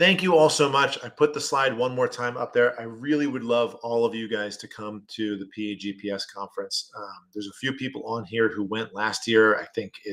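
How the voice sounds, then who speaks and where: At a fairly quick pace with hardly any pauses, a man of medium pitch talks with big swings in loudness and ordinary pitch variation. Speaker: insurance attorney. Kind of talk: webinar lecture. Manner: fast.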